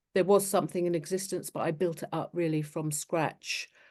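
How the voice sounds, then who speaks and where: With a southern English accent, a woman speaks at a fairly low pitch against a quiet background. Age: 60s. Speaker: charity founder. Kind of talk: interview. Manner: halting.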